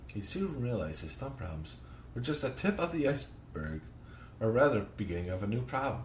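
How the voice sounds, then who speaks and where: Through audible room echo, a man with vocal fry speaks at a moderate pace and medium pitch, his pitch swinging very widely. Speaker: podcast host. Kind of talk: reading aloud. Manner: halting.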